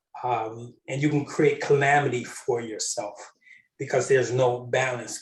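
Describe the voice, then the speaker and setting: A man speaks in a somewhat breathy voice at a fairly high pitch. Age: 60s. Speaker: panel guest on spiritual discussion. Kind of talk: spiritual panel discussion. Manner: halting, many fillers.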